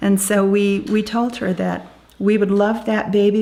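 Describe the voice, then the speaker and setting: The voice belongs to a woman. It carries a dark, mellow tone. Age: 60s. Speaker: birth grandparent. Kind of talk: interview testimony.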